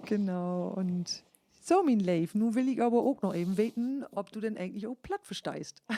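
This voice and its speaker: This woman's fairly high voice has a dark, mellow tone and ordinary pitch variation. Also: moderate pace, dry, close sound with no echo. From northern Germany, East Frisia, Leer district. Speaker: podcast host, musician. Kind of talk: casual chat. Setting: podcast.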